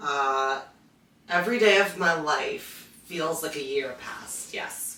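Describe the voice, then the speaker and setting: Speaking very slowly in a very deep, low voice, a woman shows ordinary pitch variation and big swings in loudness, with audible room echo and noticeable background noise. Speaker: podcast co-host. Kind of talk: casual chat.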